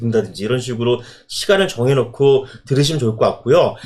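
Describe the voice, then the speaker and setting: Very fast speech with lively intonation comes through over noticeable background noise. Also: man. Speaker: design professor. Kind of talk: casual chat.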